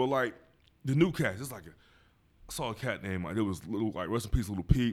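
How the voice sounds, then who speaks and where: Talking at a very fast pace with an American accent, a man of medium pitch uses lively intonation, big swings in loudness, and long, frequent pauses. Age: 30s. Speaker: podcast host. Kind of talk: casual chat.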